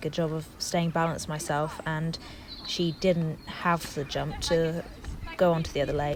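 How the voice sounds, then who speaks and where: Against noticeable background noise, a woman talks at a moderate pace with a fairly low pitch. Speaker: dressage rider. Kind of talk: instructional voiceover. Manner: monotone.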